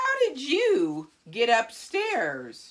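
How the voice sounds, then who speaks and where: A woman's put-on character voice, high in pitch. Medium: read story.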